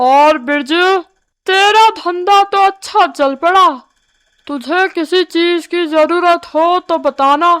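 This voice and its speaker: A woman's cartoonish character voice, extremely high in pitch, at a very slow pace with ordinary pitch variation. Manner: sly, scheming.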